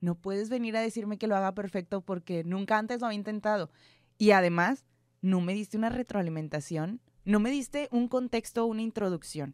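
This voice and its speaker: Speaking at a fairly quick pace with ordinary pitch variation, a woman is heard on a very clean recording with a silent background, the sound dry and close with no echo. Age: 20s. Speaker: news producer and presenter. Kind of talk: casual interview. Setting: studio.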